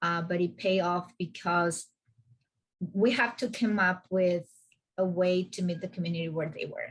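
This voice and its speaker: A woman's medium-pitched, somewhat breathy voice with a non-native accent, fairly even intonation, a moderate pace and long, frequent pauses. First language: not English. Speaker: climate justice organizer. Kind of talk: video call meeting discussion.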